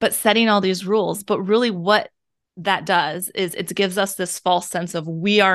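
An ordinary speaking voice with fairly even intonation moves at a moderate pace over a quiet background. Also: woman. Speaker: podcast host. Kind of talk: casual interview chat.

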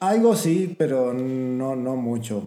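This is a man speaking at a medium pitch. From Argentina. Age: 30s. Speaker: podcast guest. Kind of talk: casual chat. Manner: halting.

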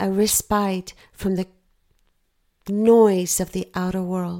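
Speaking very slowly, a woman of medium pitch uses a dark, mellow tone that is gentle and soothing. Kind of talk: guided meditation. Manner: slow, soothing, calm; gentle, hushed, with long pauses.

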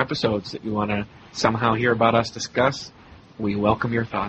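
This man's voice sits at a medium pitch. Noticeable background noise runs behind him. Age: 30s. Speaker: podcast host. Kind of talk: casual chat.

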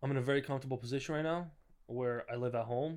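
A man speaks at a medium pitch with fairly even intonation, in a very clean recording with a silent background. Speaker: guest. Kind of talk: casual chat. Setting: apartment. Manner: soft-spoken.

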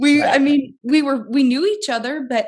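The woman's voice sits at a high pitch. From US Midwest, southern Illinois. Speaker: stay-at-home mom. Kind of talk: casual chat.

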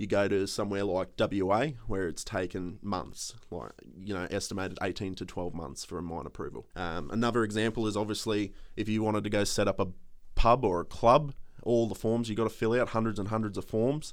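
The speaker has an Australian accent and talks at a fairly quick pace with ordinary pitch variation. The recording is very clean, with a silent background. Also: man, fairly low pitch for a man. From Australia, Queensland (Townsville). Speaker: political candidate. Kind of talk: interview. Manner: halting.

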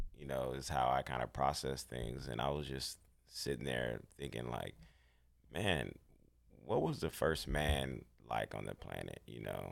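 The speaker talks at a fairly slow pace with vocal fry. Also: man. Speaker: guest. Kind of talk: casual chat.

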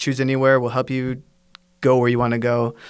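A man's medium-pitched voice with a Pacific Northwest accent. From US, Washington State. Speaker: English teacher. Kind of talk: casual chat.

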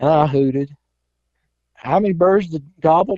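This man talks at a moderate pace. His accent is Southern US. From South Carolina. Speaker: turkey hunter. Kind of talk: casual chat. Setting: phone call.

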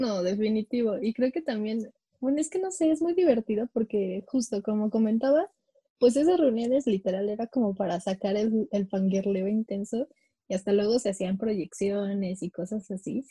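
With a Mexico City accent, a woman speaks at a moderate pace in a fairly high pitch, her tone dark, mellow and somewhat breathy. Her intonation is lively, and the sound is dry and close with no echo. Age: 20s. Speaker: podcast co-host. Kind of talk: casual chat.

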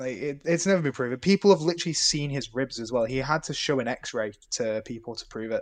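A man with a British accent talks at a very fast pace in a fairly high voice. His intonation is lively. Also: big swings in loudness, quiet background. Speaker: podcast co-host. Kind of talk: casual chat. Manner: low energy.

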